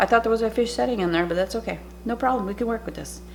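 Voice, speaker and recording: A woman's voice with ordinary pitch variation, set against noticeable background noise. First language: French. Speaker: cooking channel host. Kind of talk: cooking tutorial. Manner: casual, chatty.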